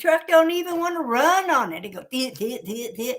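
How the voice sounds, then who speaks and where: A woman with an American accent is captured in a very clean recording with a silent background. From Washington State, USA. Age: 70s. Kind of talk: casual talk to camera.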